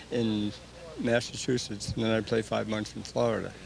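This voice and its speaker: Noticeable background noise sits behind a man speaking at a moderate pace. His medium-pitched voice is monotone and flat. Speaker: senior softball player. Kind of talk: interview.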